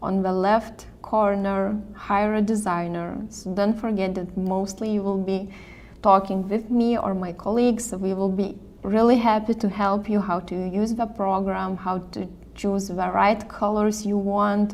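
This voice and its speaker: In a room with audible echo, a woman of medium pitch speaks fairly slowly with a non-native accent and a flat, monotone delivery. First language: not English. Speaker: software tutorial presenter, design support staff. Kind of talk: tutorial. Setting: screen recording or live stream. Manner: halting, with fillers and self-corrections.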